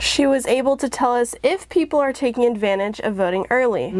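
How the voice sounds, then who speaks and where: Someone speaks at a fairly quick pace with lively intonation and very even loudness over noticeable background noise. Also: woman, high pitch for a woman. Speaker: student TV news reporter. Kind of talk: political news package reporting.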